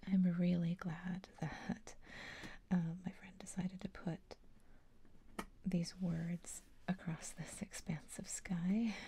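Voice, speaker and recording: Soft-spoken, the voice moves at a very slow pace with long, frequent pauses. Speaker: ASMR creator. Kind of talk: soft-spoken ASMR, casual talk while doing a puzzle. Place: home room.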